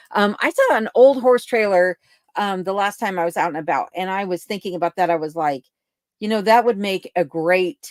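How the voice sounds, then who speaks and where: At a moderate pace, a woman with an American accent and an unremarkable speaking voice uses ordinary pitch variation, recorded very cleanly against a silent background with a dry, close sound and no echo. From Colorado. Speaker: livestream host, cabin dweller. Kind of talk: casual livestream chat reading viewer comments. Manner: conversational with fillers.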